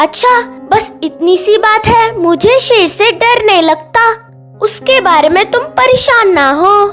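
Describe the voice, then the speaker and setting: In a cartoonish character voice at an extremely high pitch, a woman speaks at a fairly slow pace with hardly any pauses, with clear music in the background. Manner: calm.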